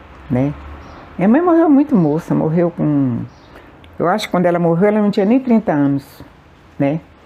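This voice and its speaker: A woman speaks at a moderate pace with very wide pitch swings, long and frequent pauses, and very even loudness. Noticeable background noise sits behind her. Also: fairly low pitch for a woman. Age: 70s. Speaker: elderly community centre member. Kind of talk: documentary interview testimony.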